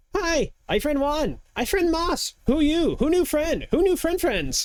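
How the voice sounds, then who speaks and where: This put-on character voice is high in pitch and moves at a fairly slow pace. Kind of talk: broken simple speech. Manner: excited, eager.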